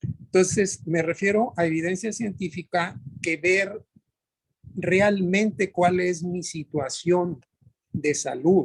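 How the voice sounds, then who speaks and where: A man's high pitch with ordinary variation, at a very slow pace. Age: 60s. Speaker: workshop participant. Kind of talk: group discussion. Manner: halting.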